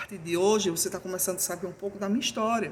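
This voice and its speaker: A woman with an Alagoas accent talks at a very fast pace. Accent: Alagoas (northeastern Brazilian). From Brazil, Alagoas (Northeast). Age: 50s. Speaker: YouTuber sharing personal grief story. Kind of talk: personal talk to camera, faith reflection. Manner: hesitant repetitions.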